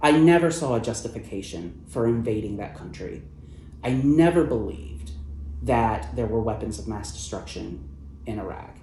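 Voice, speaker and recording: At a moderate pace, a man with a Midwestern American accent talks in a medium pitch with very wide pitch swings and big swings in loudness, in audible room echo. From US Midwest (Ohio). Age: 30s. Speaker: journalist. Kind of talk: interview. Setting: event venue.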